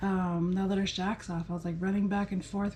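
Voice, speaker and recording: Her voice is medium in pitch, dark, mellow and somewhat breathy. The woman's intonation is monotone and flat. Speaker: vlogger sharing cancer recovery. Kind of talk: casual vlog monologue. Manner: rambling with many fillers.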